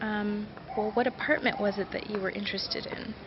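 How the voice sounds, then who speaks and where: A woman with an American accent talks at a fairly quick pace in a fairly high pitch. Noticeable background noise runs underneath. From United States. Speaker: vlogger. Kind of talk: casual storytelling vlog.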